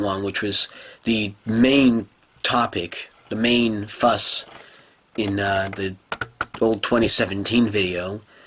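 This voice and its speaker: Speech comes at a very slow pace with fairly even intonation over noticeable background noise. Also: man. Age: 20s. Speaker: gaming video creator. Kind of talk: casual monologue rant. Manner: halting.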